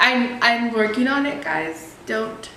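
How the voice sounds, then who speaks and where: A woman's high-pitched voice with audible room echo and noticeable background noise. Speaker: vlogger, ministry co-founder. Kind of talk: casual vlog storytime. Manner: high-pitched when excited; animated.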